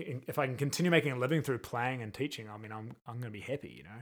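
Recorded very cleanly with a silent background, a man with a New Zealand accent speaks at a medium pitch with ordinary pitch variation. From New Zealand, Christchurch. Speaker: percussionist. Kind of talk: casual chat.

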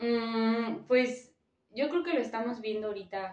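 With a Mexican accent, a woman talks at a fairly slow pace and a fairly high pitch. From Michoacán, Mexico. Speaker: graduate student. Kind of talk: casual chat.

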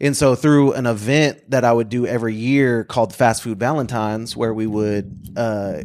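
A normal speaking voice from a man with an American accent, fairly quick in pace, ordinary in pitch variation, on a very clean recording with a silent background. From Oklahoma, Bartlesville. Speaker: speaker and community worker. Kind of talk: casual interview chat.

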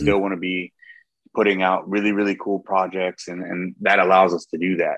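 Recorded with a dry, close sound and no echo, a man talks at a fairly quick pace in a very deep, low pitch. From Baltimore, US. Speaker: cigar blender. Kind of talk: casual interview chat.

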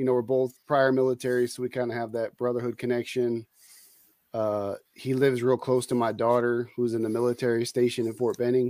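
A man with an American accent, monotone and flat at a fairly quick pace, dark, mellow tone, dry, close sound with no echo, very clean recording with a silent background. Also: medium pitch for a man. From US West Coast, San Francisco Bay Area. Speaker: retired soldier, culinary instructor and part-time reseller. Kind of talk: casual chat.

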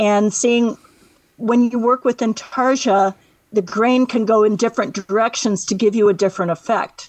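A woman with an American accent has a normal speaking voice at a fairly high pitch, moving at a moderate pace with fairly even intonation. Her loudness stays very even, and the sound is dry and close with no echo. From Northwest Indiana. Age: 60s. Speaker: woodworking artist, retired secretary. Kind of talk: radio interview.

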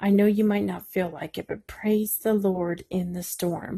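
A quiet, somewhat breathy woman's voice at medium pitch, dark and mellow in tone, with fairly even intonation, a fairly slow pace and a dry, close sound free of echo. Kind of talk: devotional encouragement talk. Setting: at home at night. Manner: speaking quietly.

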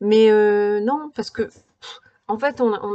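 With a medium pitch and ordinary pitch variation, a woman is talking. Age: 40s. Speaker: podcaster and lifestyle blogger. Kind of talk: solo podcast monologue giving practical advice. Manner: casual with frequent hesitations.

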